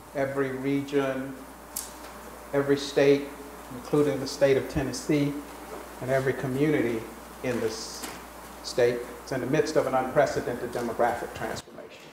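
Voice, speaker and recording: Over noticeable background noise and audible room echo, a man talks at a moderate pace and medium pitch in a monotone, flat delivery broken by long, frequent pauses. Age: 60s. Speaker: professor. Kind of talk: keynote lecture.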